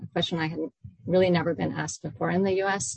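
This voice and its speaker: A woman's fairly low voice with vocal fry and ordinary pitch variation. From Iran. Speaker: professor and author. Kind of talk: academic book talk. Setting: online video event. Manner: formal.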